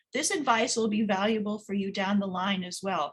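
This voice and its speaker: The voice sounds somewhat breathy. It moves at a fairly quick pace. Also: woman. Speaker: career advisor. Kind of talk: webinar presentation. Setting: online webinar. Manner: fast.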